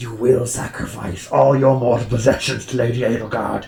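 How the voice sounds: A put-on character voice at a moderate pace. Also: man, medium pitch for a man.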